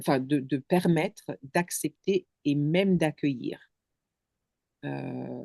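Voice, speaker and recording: This woman's voice is very deep and low, with a dark, mellow tone and ordinary pitch variation. She has a non-native accent, and the sound is dry and close with no echo. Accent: foreign accent in French. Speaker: contemplation guide. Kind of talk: casual chat. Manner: halting.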